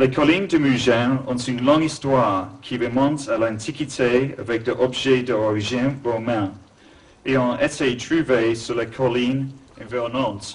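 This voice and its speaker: With a strong English accent, a man speaks fairly slowly at a medium pitch, his pitch varying in an ordinary way. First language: English (speaking French). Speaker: museum founder and art collector. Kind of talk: formal speech.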